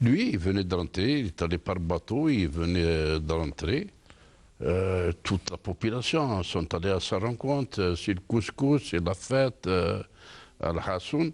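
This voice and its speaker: In a quiet background, a man with a very deep, low pitch speaks at a very slow pace with lively intonation. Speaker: independence war veteran, author. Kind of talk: interview.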